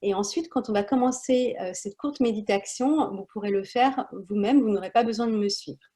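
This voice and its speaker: Somewhat breathy and dark, mellow in tone, a woman's fairly high voice moves at a fairly quick pace with ordinary pitch variation. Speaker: wellness practitioner. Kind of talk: guided breathing instruction. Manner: hesitant, many fillers.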